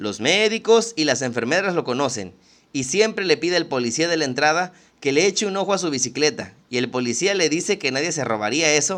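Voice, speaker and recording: A man's fairly high voice at a fairly quick pace, full of very wide pitch swings, over a quiet background. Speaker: literature podcast host. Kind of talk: casual chat; reading aloud. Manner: fast.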